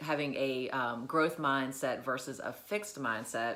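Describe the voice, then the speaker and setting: Her voice has a bright, sharp tone and a very deep, low pitch for a woman, with ordinary pitch variation. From US South. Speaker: educator / motivational vlogger. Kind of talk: motivational talk. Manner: halting, many fillers.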